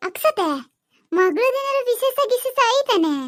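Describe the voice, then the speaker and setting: A woman speaks in a cartoonish character voice at an extremely high pitch. It sounds squeaky, and her pace is fairly slow. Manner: chatty, homely.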